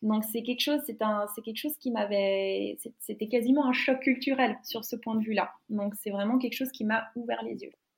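At a moderate pace with hardly any pauses, a woman speaks in a fairly high, somewhat breathy voice with fairly even intonation. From Finland. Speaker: graduate student interviewee. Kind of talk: casual interview. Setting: online call from home. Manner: halting, many fillers and repetitions.

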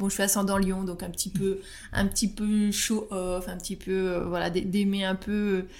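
With audible room echo around her, a woman speaks fairly slowly at a medium pitch in a monotone, flat delivery. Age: 30s. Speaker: astrologer. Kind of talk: personal interview testimony. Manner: hesitant, many fillers and repetitions.

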